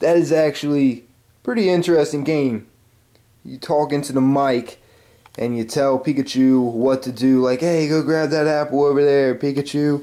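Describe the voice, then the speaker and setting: This man's voice has a dark, mellow tone. His pitch is fairly high. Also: moderate pace. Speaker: gaming YouTuber. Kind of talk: casual vlog show-and-tell. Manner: animated.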